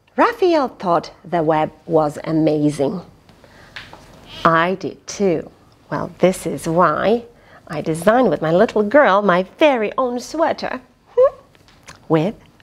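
With very wide pitch swings, a woman speaks at a very slow pace and leaves long, frequent pauses. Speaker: storyteller reading to children. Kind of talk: children's read-aloud storytelling. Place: home room.

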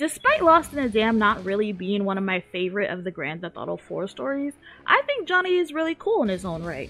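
Music plays behind a woman with a medium-pitched voice. Her pitch swings very widely. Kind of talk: video essay narration. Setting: gaming headset mic. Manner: casual.

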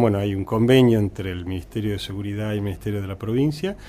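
With a dark, mellow tone and fairly low pitch, a man speaks with ordinary pitch variation. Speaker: hospital director and surgeon. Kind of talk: interview.

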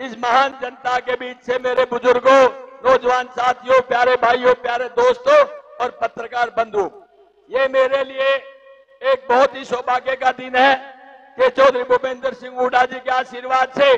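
A loud man's voice with an extremely high pitch and monotone, flat intonation. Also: fairly slow pace. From Haryana, India. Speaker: politician. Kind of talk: political rally speech. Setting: stage at a public rally. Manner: loud, forceful oratory. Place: stage. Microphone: handheld.

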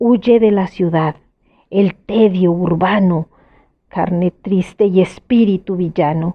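Fairly even intonation marks a woman's very slow speech. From Mexico. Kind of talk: poetry reading.

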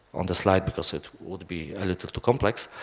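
A man with a Polish accent speaks at a very deep, low pitch. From Poland. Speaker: software developer. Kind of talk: conference talk. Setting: stage with audience. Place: hall.

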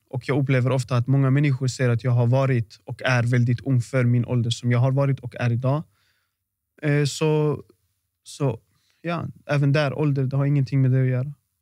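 A man at a moderate pace, dark, mellow tone and monotone, flat intonation, recorded dry with no echo against a quiet background. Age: 20s. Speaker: boxer and artist; podcast guest. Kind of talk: casual interview. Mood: calm, reflective. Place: home room. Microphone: studio mic.

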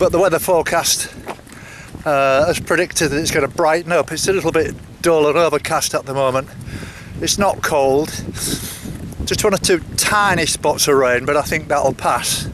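With faint background noise behind him, a man in a fairly high pitch and fairly bright tone talks at a moderate pace, leaving long, frequent pauses. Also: ordinary pitch variation.

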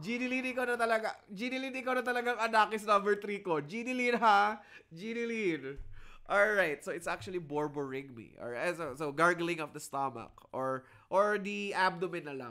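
A man uses a raised, projected voice with a bright, sharp tone at a moderate pace. His pitch is high and swings very widely. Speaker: lecturer. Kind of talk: lecture. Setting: video call. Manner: animated.

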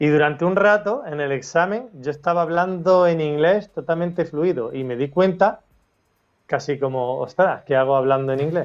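Faint music plays behind a man speaking at a moderate pace. His pitch is fairly high, with ordinary pitch variation. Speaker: schoolteacher; interview guest. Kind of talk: interview testimony. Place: home room. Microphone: video call.

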